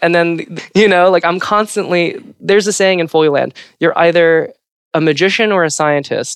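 Here a woman with an American accent speaks at a moderate pace, her pitch fairly low. Her tone is clear and smooth, and her intonation fairly even.

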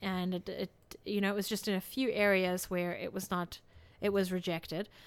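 Speaking at a moderate pace in a South African accent, a woman holds a medium pitch with monotone, flat intonation. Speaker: podcast co-host. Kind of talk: casual chat.

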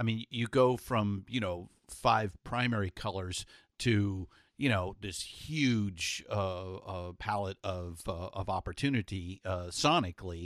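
The intonation shows ordinary pitch variation. The speaker has a Californian accent. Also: man. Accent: General American (Californian). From Los Angeles. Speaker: podcast host. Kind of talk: spoken intro monologue; casual interview. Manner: frequent fillers and repetitions.

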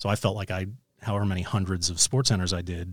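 A man's plain, everyday voice with an American accent and fairly low pitch, at a fairly quick pace, with a dry, close sound with no echo. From New York City. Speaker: sports broadcaster. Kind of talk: interview. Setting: in person, Los Angeles.

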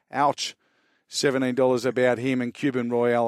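Speaking at a very fast pace with an Australian accent, a man is captured in a very clean recording with a silent background and a dry, close sound with no echo. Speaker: racing analyst. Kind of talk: horse racing preview chat. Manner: fast, stumbling over names.

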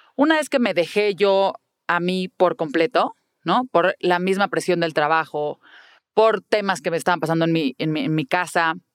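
In a dry, close sound with no echo, a woman with an unremarkable speaking voice talks at medium pitch and a moderate pace. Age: 40s. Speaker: public relations professional and mother. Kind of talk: interview.

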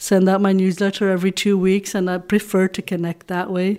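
Over a silent background on a very clean recording, a woman speaks at a fairly quick pace. Her medium pitch stays monotone and flat. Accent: Dutch. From Belgium (Flemish). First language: Dutch. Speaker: romance novelist. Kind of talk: interview.

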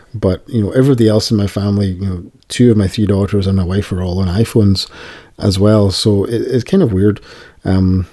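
A man with a Scottish accent talks at a fairly quick pace, with a fairly low pitch and a dark, mellow tone. His intonation is fairly even, and the recording is very clean with a silent background. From Scotland. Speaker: podcast host. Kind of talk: casual chat.

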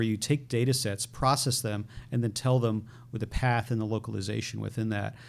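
A man with an American accent talks at a fairly quick pace in a normal speaking voice, with medium pitch and fairly even intonation. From Connecticut, US. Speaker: tech startup CEO. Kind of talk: interview.

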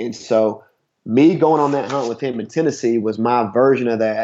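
A man speaks with an Appalachian accent at medium pitch. His pace is moderate. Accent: Appalachian Southern US. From southeast Kentucky (Harlan County). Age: 30s. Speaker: CrossFit gym owner and hunter. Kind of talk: casual interview. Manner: halting, many fillers and repeats.

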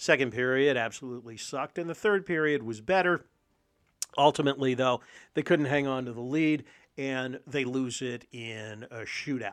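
A plain, everyday voice speaks at a moderate pace with ordinary pitch variation and big swings in loudness. The background is quiet. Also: man, medium pitch for a man. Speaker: podcast host. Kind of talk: sports talk podcast, recap and analysis. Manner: conversational, chatty, upbeat.

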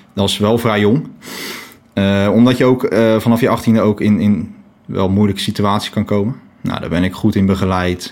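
This is a plain, everyday voice at a moderate pace. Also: man, fairly low pitch for a man, fairly even intonation. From The Hague (Scheveningen), Netherlands. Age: 20s. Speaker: volunteer lifeboat crew member.

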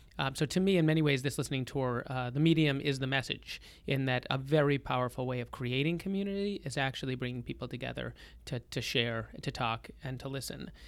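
A man speaks at a fairly quick pace in an unremarkable speaking voice. His medium pitch shows ordinary variation. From Boston, Massachusetts (North Shore, Lynnfield). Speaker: rabbi and nonprofit executive. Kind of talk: interview.

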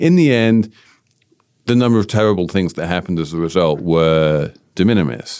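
The speaker talks at a fairly quick pace in a British accent, with lively intonation. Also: man, very deep, low pitch for a man. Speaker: podcast host. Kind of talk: casual business podcast discussion.

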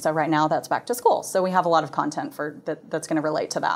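A woman with an American accent speaks in a normal speaking voice, pitched fairly low with ordinary pitch variation. The recording is very clean, with a silent background. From Texas, Plano. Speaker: parenting blog team member. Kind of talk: interview.

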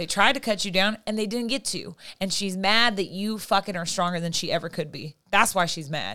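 With an American accent, a woman talks loudly in a bright, sharp tone at a medium pitch, with ordinary pitch variation. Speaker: friend of the host. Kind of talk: casual chat. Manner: talkative.

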